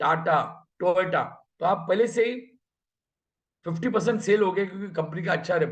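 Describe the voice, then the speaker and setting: A high-pitched man with ordinary pitch variation and long, frequent pauses. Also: moderate pace. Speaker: network marketing manager. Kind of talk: motivational business talk.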